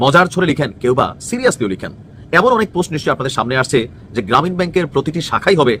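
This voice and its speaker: A man's voice has a bright, sharp tone and very wide pitch swings. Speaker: political commentator. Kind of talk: political commentary. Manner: colloquial, conversational.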